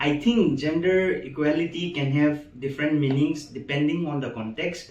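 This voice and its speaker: Noticeable background noise behind a man's fairly high voice, moderate in pace, with ordinary pitch variation. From Manipur, Northeast India. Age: 20s. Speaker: medical student. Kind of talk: interview. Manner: halting.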